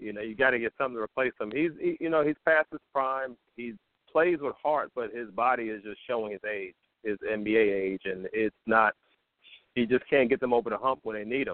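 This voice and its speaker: At a fairly quick clip, a man talks with ordinary pitch variation. He has a normal speaking voice, medium in pitch. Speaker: caller.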